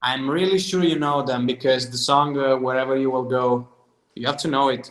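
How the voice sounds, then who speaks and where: Speaking with an Italian accent, a man holds a medium pitch and fairly even intonation. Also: moderate pace. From southern Italy. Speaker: singer-songwriter. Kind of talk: casual interview chat.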